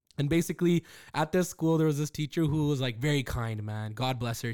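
A man speaks at a very fast pace with a fairly high pitch. The recording is very clean, with a silent background. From Calgary, Canada. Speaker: podcast co-host. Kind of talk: casual chat.

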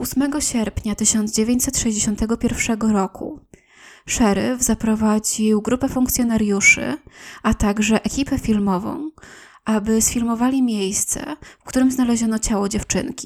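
A woman speaks very slowly in a somewhat breathy voice. Her pitch is fairly high and her intonation fairly even. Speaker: podcast host. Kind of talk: true-crime narration, read in a calm, serious storytelling tone. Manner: measured, even and unhurried, formal and factual, with little emotion; nervous at first, slightly tentative.

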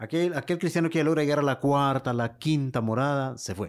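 A man's unremarkable speaking voice, fairly high for a man, at a fairly quick pace with ordinary pitch variation, in a very clean recording with a silent background. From Honduras, Lepaterique. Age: 40s. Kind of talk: interview.

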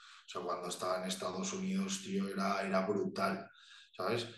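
The recording carries audible room echo. A man speaks with lively intonation. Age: 20s. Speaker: bodybuilder. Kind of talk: casual chat.

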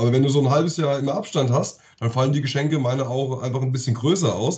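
Very fast speech from a man, somewhat breathy, with a dark, mellow tone and ordinary pitch variation. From Offenbach, Hesse, Germany. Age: 40s. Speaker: podcast co-host. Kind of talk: casual chat.

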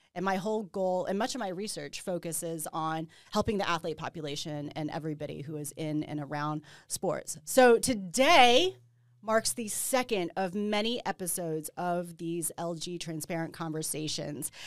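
A woman speaks in a normal speaking voice at a moderate pace, her fairly low pitch moving with ordinary variation, on a very clean recording with a silent background. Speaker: podcast host and panel moderator. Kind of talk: panel discussion. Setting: live panel with audience on campus.

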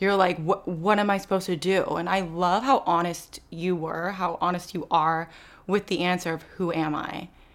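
A woman with an unremarkable speaking voice talks at a moderate pace and a fairly low pitch, on a very clean recording with a silent background. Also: fairly even intonation. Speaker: podcast host. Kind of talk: casual interview chat.

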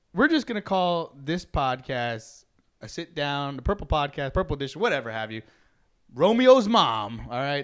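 With an ordinary speaking voice, a man talks at a fairly high pitch and a moderate pace, his intonation lively. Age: 30s. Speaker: podcast host. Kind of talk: casual chat.

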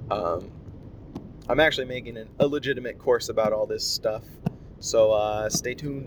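Here a man is speaking. He keeps a moderate pace. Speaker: podcaster. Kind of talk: casual solo monologue. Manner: rambling, casual.

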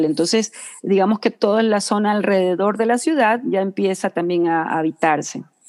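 A woman's normal speaking voice at medium pitch and moderate pace, ordinary pitch variation, dry and close with no echo against a quiet background. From Ecuador. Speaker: communicator and designer, floral therapist. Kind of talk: interview.

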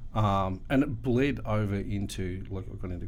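A man with an Australian accent, with audible room echo. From Ballarat, Victoria, Australia. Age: 30s. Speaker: graffiti artist and illustrator. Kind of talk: casual interview chat.

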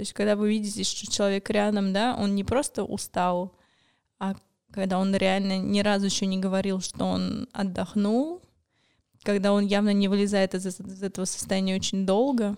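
A woman talks at a medium pitch, her intonation monotone and flat. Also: moderate pace. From Moscow, Russia. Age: 20s. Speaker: suicide attempt survivor. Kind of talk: testimony.

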